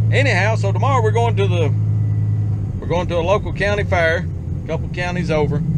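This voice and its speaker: Loud background noise accompanies a man's voice, recorded with a dry sound and no echo. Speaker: farmer vlogger. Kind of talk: casual vlog chat. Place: car. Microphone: phone near.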